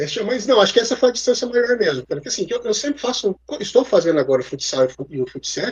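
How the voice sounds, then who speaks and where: A man talks at a very fast pace in a high voice, his pitch swinging very widely. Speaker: sports broadcaster (American football, flag football, futsal). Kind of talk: interview answer about his career.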